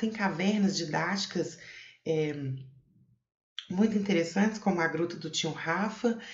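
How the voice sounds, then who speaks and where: A woman with a somewhat breathy, fairly low voice speaks at a moderate pace with ordinary pitch variation, with audible room echo around her. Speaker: cave researcher, geographer. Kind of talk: conference talk. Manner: hesitant, many fillers.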